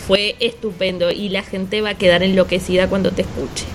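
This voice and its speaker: Noticeable background noise surrounds a woman's voice. She speaks at a moderate pace in a flat monotone. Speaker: podcast co-host, business coach. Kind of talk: casual talk show chat and advice segments.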